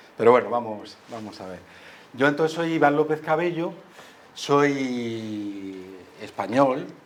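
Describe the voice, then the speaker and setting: Speaking at a very slow pace with long, frequent pauses, a man with a medium-pitched voice uses lively intonation and big swings in loudness in a room with audible echo. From Madrid, Spain. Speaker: history professor. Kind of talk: school talk. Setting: school assembly hall with microphone.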